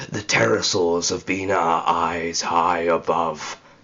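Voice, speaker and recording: A man growls in a put-on character voice, very deep and low in pitch, at a fairly slow pace. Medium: read story. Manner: fierce, zealous.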